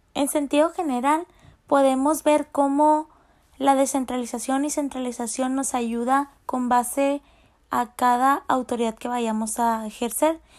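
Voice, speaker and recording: Fairly slow, fairly even speech on a very clean recording with a silent background. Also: woman, high pitch for a woman. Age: 20s. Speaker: university student. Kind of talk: class presentation.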